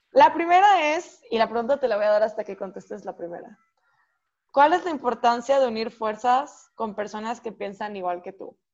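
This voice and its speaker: In an ordinary speaking voice, a woman talks at a moderate pace and a fairly high pitch. Her intonation is lively, her loudness swings widely, and the background is quiet. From Monterrey, Mexico. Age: 19. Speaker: podcast host, university student. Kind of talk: casual chat.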